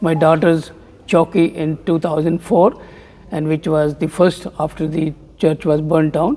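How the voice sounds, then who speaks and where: A man's fairly high-pitched voice in a monotone, flat intonation, with noticeable background noise. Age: 70s. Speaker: temple community member. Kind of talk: interview. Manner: halting.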